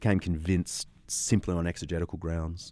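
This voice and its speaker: With an Australian accent, a man talks at a moderate pace in a very deep, low voice of dark, mellow tone, recorded very cleanly against a silent background. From Australia, Sydney. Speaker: historian and apologist. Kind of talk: interview.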